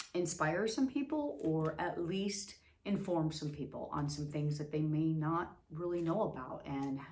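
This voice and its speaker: A somewhat breathy woman's voice with an American accent, very deep and low in pitch, at a moderate pace with ordinary pitch variation and audible room echo. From Las Vegas, US West. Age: 50s. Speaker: vlogger, abuse survivor. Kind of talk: personal testimony. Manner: halting, many fillers.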